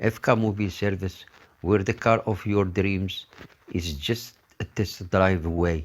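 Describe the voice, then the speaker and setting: Speaking at a fairly slow pace, a man uses a very deep, low pitch with ordinary pitch variation. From North Africa. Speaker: voice actor. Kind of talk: TV commercial read. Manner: upbeat, friendly.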